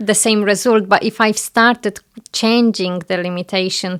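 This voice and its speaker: In a Polish accent, the speaker keeps a monotone, flat intonation on a very clean recording with a silent background. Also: woman. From Poland. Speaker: home staging business owner. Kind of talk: interview.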